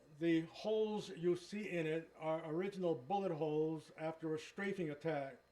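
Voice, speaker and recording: With noticeable background noise behind him, a man speaks at a high pitch, a moderate pace and fairly even intonation. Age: 80s+. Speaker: war veteran. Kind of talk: testimony.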